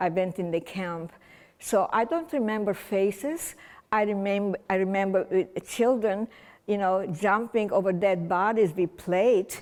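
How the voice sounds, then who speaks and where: On a very clean recording with a silent background, a woman with a non-native accent speaks at medium pitch and a fairly slow pace, with ordinary pitch variation. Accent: foreign. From Romania (Czernowitz region). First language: German. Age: 80s+. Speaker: holocaust survivor speaker. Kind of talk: testimony. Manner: halting.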